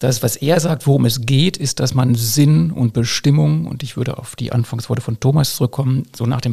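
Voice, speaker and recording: A man at a moderate pace and medium pitch, somewhat breathy, in a dark, mellow tone with ordinary pitch variation. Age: 50s. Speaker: school principal. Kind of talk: casual chat.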